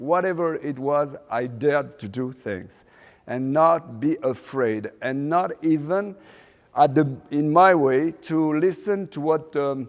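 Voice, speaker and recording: Here a man speaks with a French accent. His voice is fairly high, with ordinary pitch variation. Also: quiet background. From Morocco, raised in France. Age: 60s. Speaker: fashion designer. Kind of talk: guest lecture. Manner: halting, many fillers.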